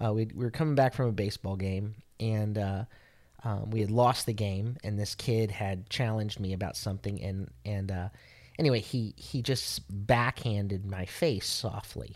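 A man with a fairly low pitch speaks at a moderate pace, with ordinary pitch variation and an ordinary speaking voice. The recording is very clean, with a silent background. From Italian-American heritage. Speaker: podcast co-host, messianic faith. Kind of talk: casual faith conversation.

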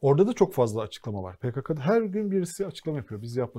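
Over a very clean, silent background, a man talks at a fairly quick pace in a dark, mellow tone, his pitch swinging very widely. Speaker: TV co-host. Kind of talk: casual political talk show.

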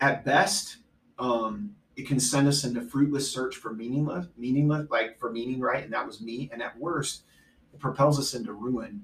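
Somewhat breathy, the man's voice rests at a medium pitch. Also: ordinary pitch variation, moderate pace. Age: 40s. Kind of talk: casual faith discussion.

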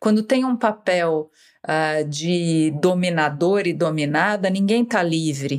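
Over a silent background in a very clean recording, a woman speaks at a very slow pace. Her pitch is fairly low, with ordinary variation. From Brazil, São Paulo state (Piracicaba, interior). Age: 50s. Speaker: writer. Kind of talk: interview.

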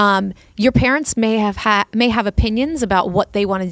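Delivered at a fairly quick pace in a plain, everyday voice, the speech has ordinary pitch variation and a dry, close sound with no echo. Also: woman. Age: 40s. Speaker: podcast co-host and parent. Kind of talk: casual chat.

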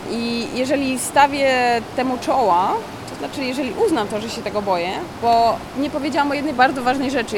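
A woman speaks with audible room echo. Noticeable background noise runs under her voice. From Mazovia, Poland. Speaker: freediving instructor and record holder. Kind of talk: interview. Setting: deep diving pool facility.

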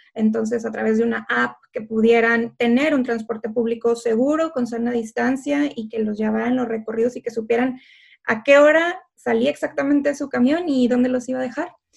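A woman with an ordinary speaking voice, fairly high in pitch, at a moderate pace with ordinary pitch variation. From northern Mexico, Tamaulipas (Ciudad Victoria). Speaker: political scientist and tech founder. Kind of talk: interview.

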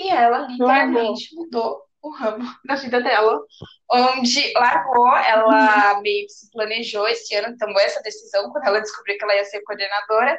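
In a normal speaking voice, a woman talks at a moderate pace with fairly high pitch and ordinary pitch variation. Her loudness swings a great deal. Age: 20s. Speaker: podcast co-host. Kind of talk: casual chat.

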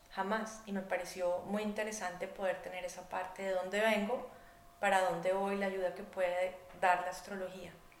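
Noticeable background noise and audible room echo surround speech delivered at a moderate pace in a flat monotone. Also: woman. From Colombia, Bogotá. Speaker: artist and economist. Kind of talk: interview conversation.

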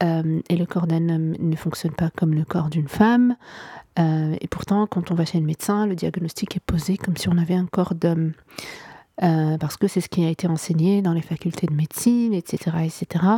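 A woman speaks at a fairly low pitch with a dark, mellow tone and a somewhat breathy quality. Her moderate pace and fairly even intonation sit in a dry, close sound with no echo. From Morocco. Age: 30s. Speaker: podcast host. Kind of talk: solo monologue, unscripted reflection. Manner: hesitant, many fillers.

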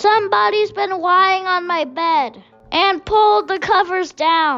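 This put-on character voice goes along at a fairly slow pace. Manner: growling.

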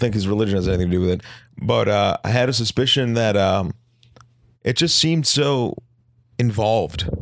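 A man with an unremarkable speaking voice talks at a fairly quick pace in a medium pitch, his loudness very even. The recording is very clean with a silent background. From Boston area. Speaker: podcast co-host, medical clinician. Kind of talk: casual chat.

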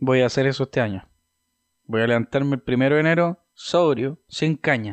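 A man with a Chilean accent speaks at a medium pitch and very even loudness. The background is quiet. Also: ordinary pitch variation, moderate pace, dry, close sound with no echo. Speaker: podcast host. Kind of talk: casual chat.

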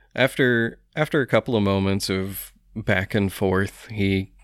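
The intonation is fairly even. It is an unforced reading voice.

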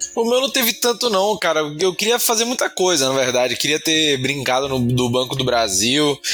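A fairly high-pitched man's voice with very wide pitch swings, very even loudness and hardly any pauses, over music in the background. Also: moderate pace. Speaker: podcast co-host. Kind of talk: casual chat.

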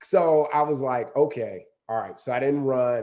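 In a plain, everyday voice, a man with a fairly high pitch speaks at a moderate pace using fairly even intonation. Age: 50s. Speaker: marathon runner. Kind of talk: casual chat.

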